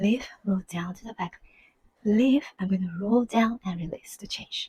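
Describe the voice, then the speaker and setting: Whispering, soft-spoken and somewhat breathy, a woman talks at a fairly slow pace in a dry, close sound with no echo. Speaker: belly dance teacher. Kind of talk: dance tutorial instruction. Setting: home. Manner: soft, almost whispering.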